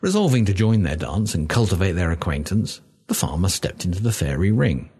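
The clip features a natural reading voice.

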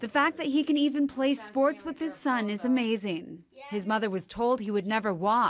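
In a plain, everyday voice, a woman with a fairly high pitch talks at a moderate pace with lively intonation and hardly any pauses. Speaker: TV news reporter. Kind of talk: TV news report narration.

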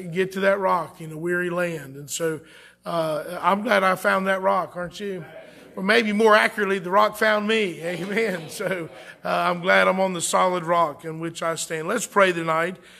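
Fairly even intonation from a man, moderately paced. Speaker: pastor. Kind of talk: sermon and prayer. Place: church.

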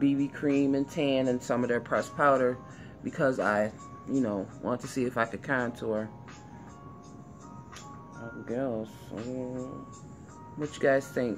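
With music in the background, a woman with a very deep, low pitch speaks at a fairly slow pace and with fairly even intonation. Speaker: beauty vlogger. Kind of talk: casual makeup tutorial chat. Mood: relaxed, playful. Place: home room. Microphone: phone near.

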